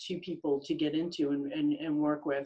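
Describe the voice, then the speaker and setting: A woman with an American accent speaks at a moderate pace in a very deep, low voice with ordinary pitch variation. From Rhode Island, US. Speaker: business consultant. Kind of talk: interview. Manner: halting, many fillers.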